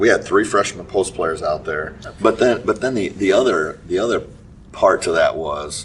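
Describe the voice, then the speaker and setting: A man's speech, at a moderate speed, is heard amid noticeable background noise. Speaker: high school basketball coach. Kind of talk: casual interview.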